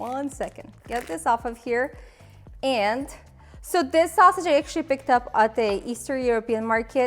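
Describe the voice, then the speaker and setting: A woman with a Ukrainian accent speaks at a moderate pace in a high pitch, with lively intonation and an upbeat tone. Music plays in the background. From Ukraine. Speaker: cooking video host. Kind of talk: cooking tutorial. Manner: casual, upbeat.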